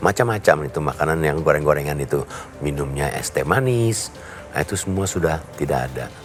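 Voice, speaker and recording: Music plays in the background as a man speaks with a very deep, low pitch. His intonation is lively and his pace fairly quick. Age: 70s. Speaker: media professional giving a product testimonial. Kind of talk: testimony.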